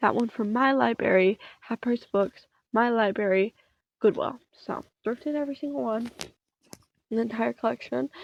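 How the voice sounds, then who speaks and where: A soft-spoken woman with a fairly high pitch talks at a fairly slow pace with lively intonation, the sound dry and close with no echo. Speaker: content creator. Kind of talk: casual chat. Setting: home bedroom. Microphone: phone recording.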